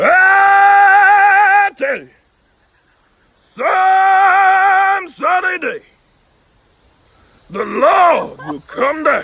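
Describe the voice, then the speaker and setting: A shouted put-on character voice, extremely high in pitch, at a very slow pace with long, frequent pauses. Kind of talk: sermonizing, oratorical. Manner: exaggerated, preaching.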